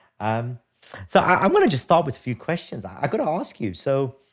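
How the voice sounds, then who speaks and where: A man at a fairly quick pace with very wide pitch swings, in a very clean recording with a silent background. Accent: British. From England. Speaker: podcast host. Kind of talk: casual chat. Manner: halting, many repeated words.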